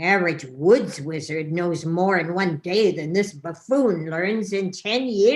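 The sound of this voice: What we hear is an unforced reading voice.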